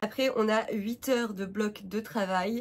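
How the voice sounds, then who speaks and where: Somewhat breathy, a woman talks at a very slow pace with fairly even intonation. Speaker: vlogger and freelance graphic designer. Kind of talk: casual vlog talk to camera. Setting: home, sitting on the floor. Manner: many hesitations (euh).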